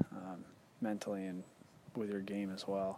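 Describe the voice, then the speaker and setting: With an American accent, a man speaks at a moderate pace and a fairly low pitch, against noticeable background noise. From US South (Georgia). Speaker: professional golfer. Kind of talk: interview.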